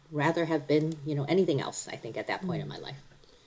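With clear background noise behind her, a woman talks in an American accent. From US Midwest, Cleveland. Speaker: workplace leader. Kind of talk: casual interview.

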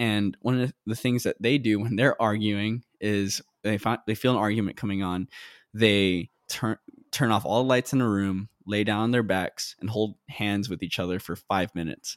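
On a very clean recording with a silent background and a dry, close sound free of echo, a man speaks at a moderate pace with a fairly low pitch. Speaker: podcast host. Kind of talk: casual interview. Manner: animated.

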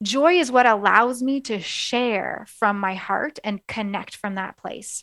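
Using an ordinary speaking voice, a woman talks at a fairly high pitch with ordinary pitch variation. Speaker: coach and podcast host. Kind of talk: guided meditation. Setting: radio show, podcast. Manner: slow, soothing, calm.

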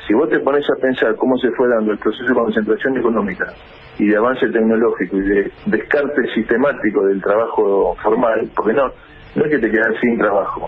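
Over noticeable background noise, a man speaks at a fairly quick pace with very even loudness. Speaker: social movement leader. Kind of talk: radio interview.

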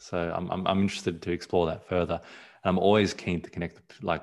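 Very fast delivery in a monotone, flat intonation. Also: man, very clean recording, silent background. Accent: Australian. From born in South Africa, raised partly abroad, lives in Australia. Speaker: photographer. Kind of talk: casual interview chat.

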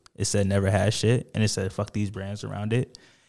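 On a very clean recording with a silent background, an ordinary speaking voice keeps a moderate pace. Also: man. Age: 20s. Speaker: fashion brand founder. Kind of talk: casual interview.

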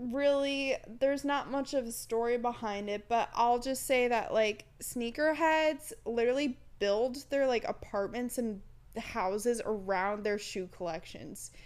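Using a normal speaking voice, a woman talks at a fairly slow pace with ordinary pitch variation. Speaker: podcast co-host. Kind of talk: casual chat.

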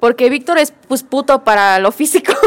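At a moderate pace, a woman speaks with a Mexican accent in a high pitch with ordinary pitch variation. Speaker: podcast co-host. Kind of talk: casual chat.

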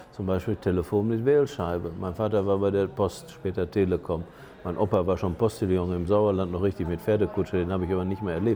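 A man with a very deep, low voice speaks with ordinary pitch variation. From Germany. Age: 60s. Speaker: auxiliary bishop. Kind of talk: casual interview. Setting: on location in Lisbon.

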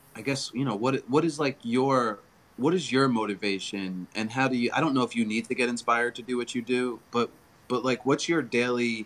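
Here a man talks at a moderate pace in a normal speaking voice. His pitch is medium, with ordinary pitch variation. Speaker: filmmaker, comedian, guest. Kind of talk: casual interview chat.

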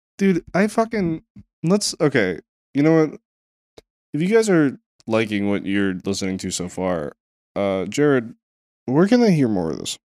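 A man with a fairly high pitch talks at a moderate pace, his pitch swinging very widely. The sound is dry and close with no echo, and he leaves long, frequent pauses. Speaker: podcast host. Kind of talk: casual banter podcast. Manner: casual, joking, profane.

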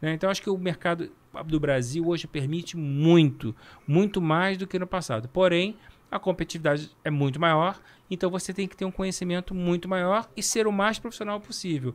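Using a high pitch with ordinary pitch variation, a man speaks at a moderate pace. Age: 50s. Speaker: talent agent. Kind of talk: casual chat.

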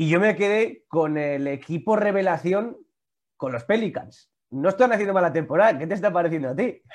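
Over a quiet background, a man with a high pitch speaks at a moderate pace using lively intonation. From Vitoria, Basque Country. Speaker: YouTube and Twitch sports show host. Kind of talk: casual interview chat.

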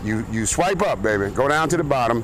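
Music plays in the background and audible room echo colors the sound. A man speaks at a fairly quick pace, animated in tone with lively intonation. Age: 50s. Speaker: golf course worker and podcaster. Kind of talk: casual vlog chat.

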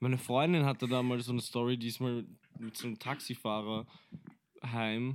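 Using monotone, flat intonation, a man speaks at a moderate pace in a medium pitch, with long, frequent pauses. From Austria, Vienna. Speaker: rapper and singer. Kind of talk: casual chat.

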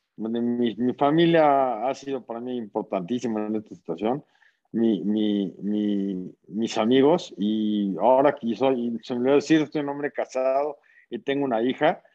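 A man of medium pitch talks fairly slowly, his pitch shifting in an ordinary way. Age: 40s. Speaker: social entrepreneur. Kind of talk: casual interview chat. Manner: halting, repeats words.

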